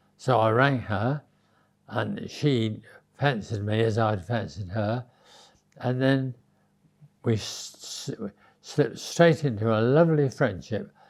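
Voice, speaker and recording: Speaking very slowly with long, frequent pauses, a man with an English accent uses a medium pitch and ordinary pitch variation. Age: 90s. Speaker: interviewee recalling his youth. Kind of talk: interview storytelling. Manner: halting.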